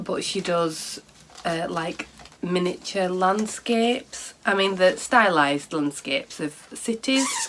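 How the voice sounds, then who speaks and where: With a British accent and lively intonation, the speaker goes at a very slow pace over noticeable background noise. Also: woman. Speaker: knitting and craft podcaster. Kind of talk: casual chat. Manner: halting.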